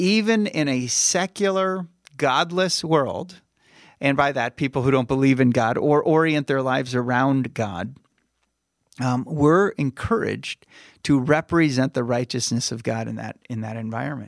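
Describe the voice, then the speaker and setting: Medium in pitch, a man speaks in an ordinary speaking voice at a moderate pace with lively intonation. The recording is very clean, dry and close, with a silent background and no echo. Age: 50s. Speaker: pastor. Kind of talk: casual chat.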